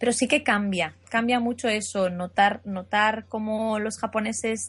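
Somewhat breathy, the voice moves fairly slowly, its pitch varying in an ordinary way. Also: woman. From Asturias, Spain. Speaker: translator and interpreter. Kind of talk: casual interview.

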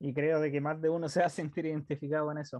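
A man with a Chilean accent speaks at a moderate pace and a fairly high pitch. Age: 20s. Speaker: podcast co-host. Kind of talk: casual chat.

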